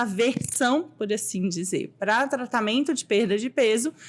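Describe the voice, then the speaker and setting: Her intonation is lively. The woman speaks at a fairly slow pace. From Goiás, Brazil (Anápolis). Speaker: endocrinologist. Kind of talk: interview.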